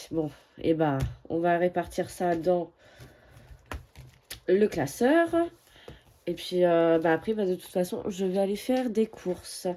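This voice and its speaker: At a very slow pace, a woman speaks with long, frequent pauses and ordinary pitch variation. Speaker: budgeting vlogger. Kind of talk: casual vlog. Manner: hesitant, many fillers.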